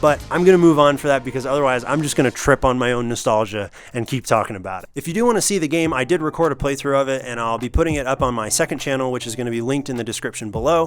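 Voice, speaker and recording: A man's medium-pitched voice at a very fast pace, with hardly any pauses, ordinary pitch variation and noticeable background noise. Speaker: gaming youtuber. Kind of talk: video game commentary. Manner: animated.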